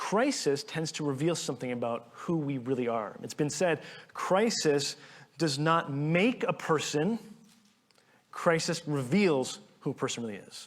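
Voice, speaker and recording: Speaking at a fairly slow pace, a man with an unremarkable speaking voice and fairly high pitch uses lively intonation. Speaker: pastor. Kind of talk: sermon.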